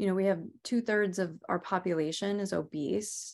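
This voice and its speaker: An unremarkable speaking voice with an American accent, at a moderate pace. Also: woman. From Rhode Island, US. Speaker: Ayurvedic practitioner and author. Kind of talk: interview.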